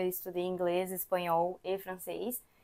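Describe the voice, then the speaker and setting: A woman's dark, mellow tone at a medium pitch, in a very clean recording with a silent background. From Brazil, Brasília. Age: 20s. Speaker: immigrant, daycare worker. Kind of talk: interview conversation.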